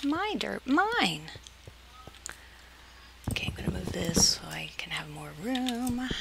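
Loud background noise sits under a woman who talks at a very slow pace with long, frequent pauses. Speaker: gaming video creator. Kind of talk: casual gameplay commentary. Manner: whispered when tense. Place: home room.

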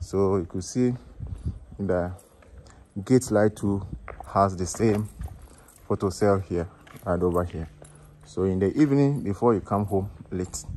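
The speech moves at a moderate pace. Light background noise runs underneath. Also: man. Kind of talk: walkthrough tour commentary. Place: street. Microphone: phone near.

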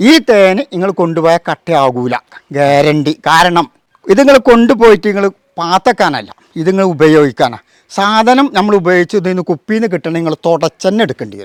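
Intonation here is lively. The sound is dry and close, with no echo. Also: man, high pitch for a man. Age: 60s. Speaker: beekeeper. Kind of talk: demonstration.

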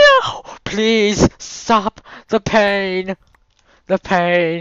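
This is a put-on character voice. The pitch sits in the middle range. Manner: wailing, pained.

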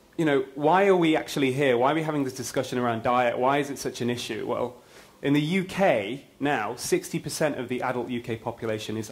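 A man speaks fairly quickly, his pitch varying in an ordinary way. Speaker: conference speaker. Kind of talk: lecture. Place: hall. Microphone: lapel.

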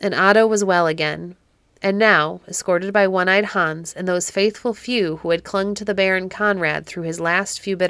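Reading in an unforced voice

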